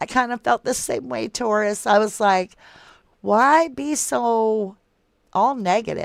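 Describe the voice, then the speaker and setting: A woman with a Southern US accent, fairly high-pitched, very slow and lively in intonation, on a very clean recording with a silent background. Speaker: true crime livestream host. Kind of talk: casual livestream chat reading viewer comments. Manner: casual, conversational.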